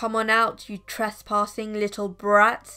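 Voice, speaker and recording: Put-on character voice, growling, fairly slow and in a monotone, flat intonation. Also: woman. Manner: growling, menacing.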